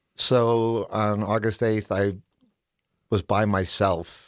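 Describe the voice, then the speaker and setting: A man is heard in a very clean recording against a silent background, the sound dry and close with no echo. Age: 60s. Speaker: mountain biker, crash survivor. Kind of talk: personal story interview. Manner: casual, with fillers and false starts.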